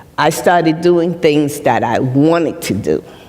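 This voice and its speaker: A woman with an American accent and a very deep, low pitch speaks at a very slow pace over noticeable background noise. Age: 70s. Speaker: retired nurse and mental health speaker. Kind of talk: personal testimony on stage. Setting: stage with live audience.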